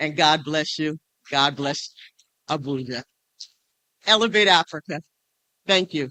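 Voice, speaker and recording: The speaker, in an American accent, moves at a fairly slow pace with long, frequent pauses. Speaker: state legislator, speaker. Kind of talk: conference speech. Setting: stage with audience.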